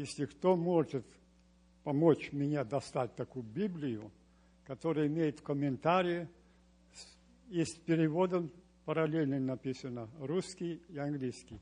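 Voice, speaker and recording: In a Romanian accent, a man with a fairly high pitch and a dark, mellow tone speaks fairly slowly with ordinary pitch variation and long, frequent pauses. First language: Romanian (speaking Russian). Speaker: church member. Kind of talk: testimony.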